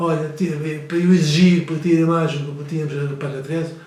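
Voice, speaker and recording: A man speaks in a fairly high voice with monotone, flat intonation. The room echo is audible, and there is noticeable background noise. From Azores, Faial island. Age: 70s. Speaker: retired priest. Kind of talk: interview. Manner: halting, many repetitions.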